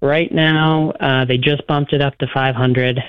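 This man's medium-pitched voice stays flat and monotone. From New England. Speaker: caller. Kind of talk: casual chat. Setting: phone call.

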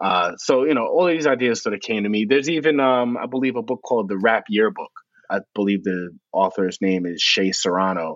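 With a New York accent, a man talks at a fairly quick pace in a medium pitch with lively intonation. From New York City, South Bronx. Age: 50s. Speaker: author and music journalist. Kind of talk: interview.

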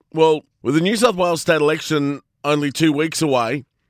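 In a dry, close sound with no echo and a very clean, silent background, a man speaks at a fairly high pitch with ordinary pitch variation. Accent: Australian. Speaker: radio host. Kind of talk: radio commentary.

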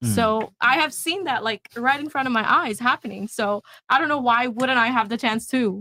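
The woman's voice is loud, high and bright with a sharp tone. The sound is dry and close with no echo. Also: ordinary pitch variation, moderate pace. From Bangladesh. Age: 20s. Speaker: panel guest. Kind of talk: heated debate.

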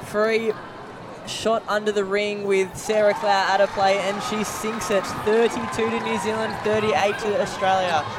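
The pace of speech is fairly slow. Noticeable background noise can be heard. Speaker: co-commentator, expert analyst. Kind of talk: live sports commentary. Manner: chatty, amused, reactive.

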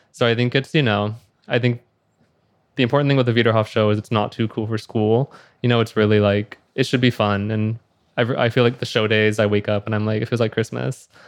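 A man with an American accent and medium pitch speaks at a very fast pace in a monotone, flat intonation against a quiet background. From Houston, Texas. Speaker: fashion designer. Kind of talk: interview. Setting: live recording at fashion week venue.

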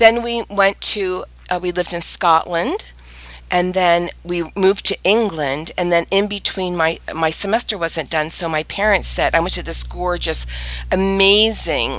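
A woman with an American accent at a moderate pace, amid noticeable background noise. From US, born Maryland, raised on military bases and Pennsylvania. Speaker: podcast host, decorating blogger, former teacher. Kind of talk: casual chat, podcast conversation.

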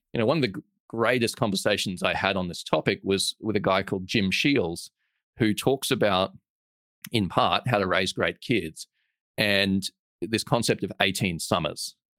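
A man with an Australian accent at a moderate pace, fairly low pitch and ordinary pitch variation, on a very clean recording with a silent background and a dry, close sound with no echo. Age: 30s. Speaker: entrepreneur and investor. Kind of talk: interview conversation.

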